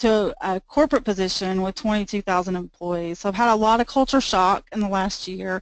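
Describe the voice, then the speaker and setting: Speaking with hardly any pauses, a woman with a Southern US accent has a medium pitch. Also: ordinary pitch variation. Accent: Southern US drawl. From US South, Georgia. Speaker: IT manager and presenter. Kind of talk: webinar presentation. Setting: webinar on computer, no camera.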